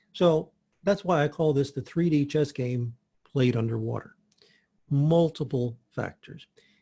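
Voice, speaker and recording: A man's somewhat breathy voice with a dark, mellow tone, a fairly slow pace, and ordinary pitch variation. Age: 60s. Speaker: health practitioner. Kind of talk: interview.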